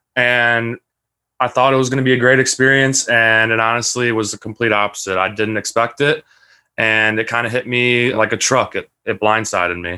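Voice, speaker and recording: A man talks at a moderate pace with fairly even intonation, in an unremarkable speaking voice. The recording is very clean, the background silent. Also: medium pitch for a man. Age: 20s. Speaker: hazing survivor and college student. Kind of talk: testimony.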